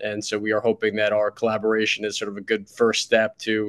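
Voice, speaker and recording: The sound is dry and close with no echo, and the background is quiet. A man speaks at medium pitch and a fairly quick pace. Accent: New York. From US, New York City. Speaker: startup CEO. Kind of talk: podcast interview.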